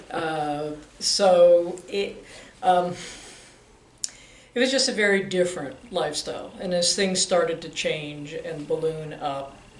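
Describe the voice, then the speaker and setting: The speech comes at a very slow pace with long, frequent pauses, over noticeable background noise. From Arlington, Virginia. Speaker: optician business owner. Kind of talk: oral history interview.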